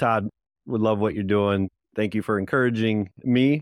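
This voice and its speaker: The recording is very clean, with a silent background and a dry, close sound with no echo. A man speaks at a moderate pace. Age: 40s. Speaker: podcast host, men's ministry founder. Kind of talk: casual interview. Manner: enthusiastic.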